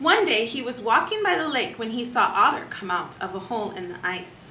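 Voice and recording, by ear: With audible room echo, a woman speaks at a fairly slow pace in a bright, sharp tone with big pitch swings.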